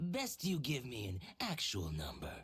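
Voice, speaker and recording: Someone uses a put-on character voice, speaking at a fairly slow pace. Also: very clean recording, silent background. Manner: sly, villainous, exaggerated.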